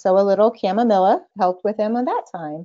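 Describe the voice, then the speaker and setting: A woman with an American accent. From Texas. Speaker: mother sharing homeopathy experience. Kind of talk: casual interview chat.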